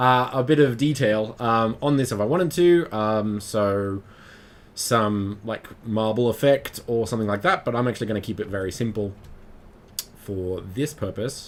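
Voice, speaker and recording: A man's medium-pitched voice with an Australian accent. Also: ordinary pitch variation, moderate pace. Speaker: 3D modelling instructor, livestreamer. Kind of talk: live-streamed tutorial. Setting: live stream. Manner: halting, many fillers.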